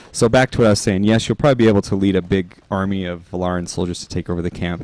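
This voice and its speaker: A man with an American accent speaks very fast in a very deep, low voice, with ordinary pitch variation and a dry sound with no echo. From northern Utah. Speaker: game developer streamer. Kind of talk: casual live stream chat. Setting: live stream while playing. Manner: casual, halting with fillers. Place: home room.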